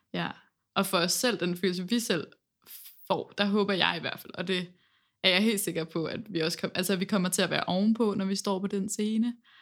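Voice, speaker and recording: A woman speaks in a plain, everyday voice at medium pitch and a moderate pace. Her intonation is fairly even, and the recording is very clean with a silent background. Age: 20s. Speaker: singer in a band, music student. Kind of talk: casual interview chat. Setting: university classroom.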